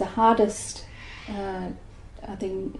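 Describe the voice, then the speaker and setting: A woman speaks at a fairly slow pace in a medium-pitched voice with a dark, mellow tone, and the room echo is audible. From Malaysia. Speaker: migrant interviewee. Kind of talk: oral history interview. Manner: hesitant, many fillers.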